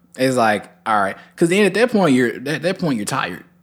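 On a very clean recording with a silent background, a man talks at a fairly quick pace with lively intonation. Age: 20s. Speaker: podcast co-host. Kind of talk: casual chat. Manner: animated.

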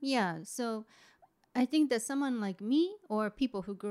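A woman speaks in a Japanese accent. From Japan, Kofu. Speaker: artist. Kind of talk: interview. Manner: halting.

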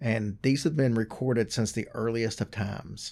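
A man speaks in an unremarkable speaking voice, captured in a very clean recording with a silent background. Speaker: podcast co-host. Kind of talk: casual chat.

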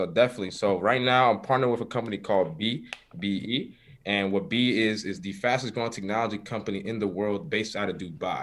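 A fairly low-pitched man with an American accent, at a very fast pace, with ordinary pitch variation. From New York City (Harlem). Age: 20s. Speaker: entrepreneur, business affiliate. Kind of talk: casual interview chat.

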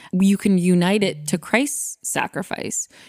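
In a very clean recording with a silent background, a woman speaks at a medium pitch with a dry, close sound and no echo. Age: 20s. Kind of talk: casual chat.

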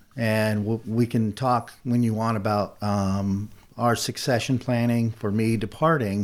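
In a plain, everyday voice, a man speaks at a fairly slow pace and medium pitch with fairly even intonation, on a very clean recording with a silent background. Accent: American. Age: 50s. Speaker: business owner. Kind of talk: interview.

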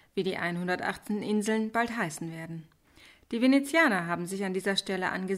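Someone is reading aloud in a natural voice, the pitch varying in an ordinary way.

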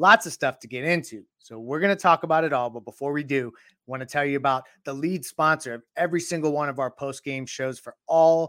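A man with an unremarkable speaking voice and a fairly high pitch talks at a moderate pace with fairly even intonation. The recording is very clean, with a silent background. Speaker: sports podcast host. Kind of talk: live sports talk show recap. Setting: live stream.

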